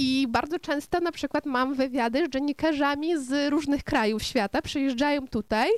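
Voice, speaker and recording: A high-pitched woman with a Ukrainian accent, ordinary pitch variation, and a dry, close sound with no echo on a very clean recording with a silent background. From western Ukraine. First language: Ukrainian (speaking Polish). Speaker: restaurant owner and radio presenter. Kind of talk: interview with children.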